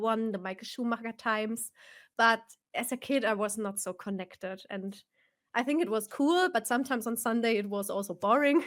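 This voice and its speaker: A woman with a German accent, fairly high in pitch, at a moderate pace, in a very clean recording with a silent background. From Germany, Bavaria (Nuremberg). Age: 30s. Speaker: sim racer and streamer. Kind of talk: live stream interview.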